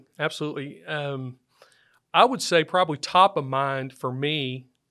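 On a very clean recording with a silent background, a man with a Texan accent speaks at a fairly high pitch in a bright, sharp tone. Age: 50s. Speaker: financial advisor, firm founder. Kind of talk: interview. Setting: studio.

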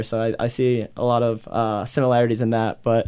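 The speaker talks with an American accent in a monotone, flat intonation. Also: man. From New Jersey. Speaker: professional soccer player. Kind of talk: interview. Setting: radio studio.

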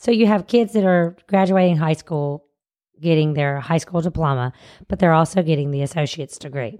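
A woman with a fairly low pitch and a dark, mellow tone speaks fairly quickly in a Southern US accent, with ordinary pitch variation. The recording is very clean, with a silent background. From US South. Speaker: teacher, co-host. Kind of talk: casual chat.

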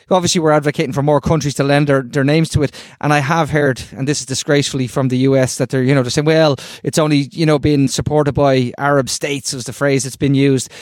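With an Irish accent, a man speaks very fast in a fairly high pitch and a monotone, flat intonation. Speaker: podcast co-host. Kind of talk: casual chat.

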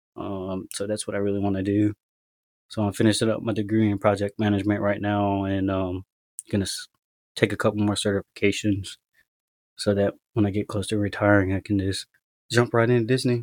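A man with an American accent, fairly low-pitched and monotone with flat intonation, at a fairly quick pace broken by long, frequent pauses, in a dry, close sound with no echo, on a very clean recording with a silent background. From US mainland, Tennessee and elsewhere. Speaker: military service member and adoptee. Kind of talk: interview about personal story. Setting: podcast interview. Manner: casual, hesitant with fillers.

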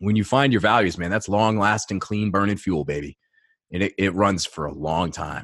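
A man with an American accent talks at a moderate pace in a normal speaking voice, pitched fairly low with ordinary pitch variation. The recording is very clean with a silent background. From Maine, US. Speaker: mindset coach. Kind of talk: interview. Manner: casual, filler-heavy.

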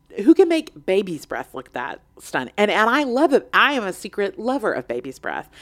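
With hardly any pauses, a woman talks at a fairly high pitch with vocal fry, very wide pitch swings and big shifts in loudness. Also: moderate pace. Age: 40s. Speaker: podcast host. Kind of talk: casual chat.

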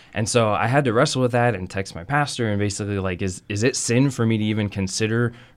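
A man with an American accent speaks in a plain, everyday voice at fairly low pitch. His intonation is fairly even, and the recording is very clean with a silent background. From Texas. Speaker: children's curriculum editor. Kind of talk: casual chat.

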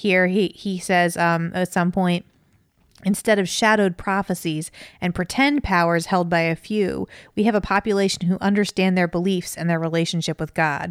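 A woman speaks at a moderate pace and medium pitch, with fairly even intonation, in a normal speaking voice. The very clean recording has a silent background and a dry, close sound with no echo. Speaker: podcast co-host. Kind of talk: casual chat.

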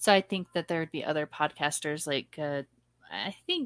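A woman's fairly low voice, an ordinary speaking voice with ordinary pitch variation, dry and close with no echo, very clean with a silent background. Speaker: podcast host interviewer. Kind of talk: casual interview with rapid-fire questions.

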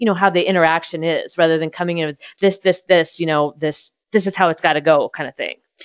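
Using an ordinary speaking voice, the woman keeps her intonation fairly even and her pitch fairly low. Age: 40s. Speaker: podcast host. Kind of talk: interview; podcast outro.

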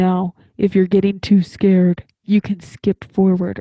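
A woman uses a put-on character voice at medium pitch. She speaks at a fairly slow pace with a monotone, flat intonation. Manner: spooky, ominous.

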